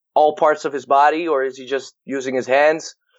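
A man with a Dutch accent speaks in a fairly high pitch. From Netherlands. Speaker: baseball hitting and performance coach. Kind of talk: interview.

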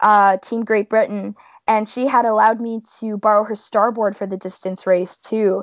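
A woman with a Canadian accent speaks at a moderate pace in a fairly high pitch. The recording is very clean, dry and close, with no echo and a silent background. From Ontario, Canada (Welland, Niagara region). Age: 20s. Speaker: stand-up paddleboard racer. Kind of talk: interview. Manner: animated.

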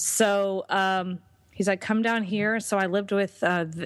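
In a normal speaking voice, a woman with a medium pitch talks at a fairly slow pace on a very clean recording with a silent background. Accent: American. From Texas. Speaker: entrepreneur and business coach. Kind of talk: interview.

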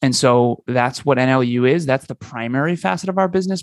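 At a fairly quick pace, a man talks at medium pitch with ordinary pitch variation, in a dry, close sound with no echo and a quiet background. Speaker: business coach. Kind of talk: interview. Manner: energetic.

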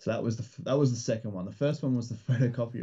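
Here is a man with an Australian accent. His medium-pitched voice keeps a fairly even intonation. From Australia, rural Victoria. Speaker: comic book creator and publisher. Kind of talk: casual interview chat. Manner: hesitant, many fillers.

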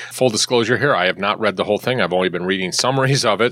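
A man talks over noticeable background noise. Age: 60s. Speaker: podcast host and healthcare consultant. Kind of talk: casual chat and interview. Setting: studio. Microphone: microphone hum and problems.

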